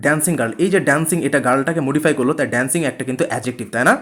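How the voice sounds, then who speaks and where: This man's voice is fairly high in pitch, with ordinary pitch variation. Noticeable background noise sits behind him. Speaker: nursing admission coaching teacher. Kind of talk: online class lecture. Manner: some stuttering.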